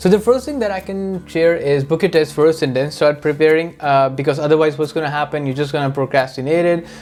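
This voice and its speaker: A man with a fairly high pitch and a non-native accent talks at a fairly quick pace with ordinary pitch variation. Music plays in the background. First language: not English. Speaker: immigration vlogger. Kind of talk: casual advice talk. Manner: conversational with fillers.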